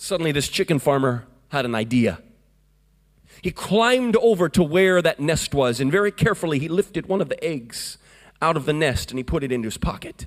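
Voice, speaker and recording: A man speaks in an ordinary speaking voice with an American accent, his pitch fairly high. His intonation is lively and his pace fairly quick. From US, Florida. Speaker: evangelist. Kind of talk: Pentecostal revival sermon, storytelling to a congregation. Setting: church service with congregation. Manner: fervent, rhythmic preaching with call-and-response amens.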